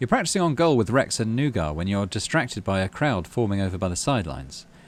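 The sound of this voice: A man's fairly low pitch with big swings, delivered at a fast pace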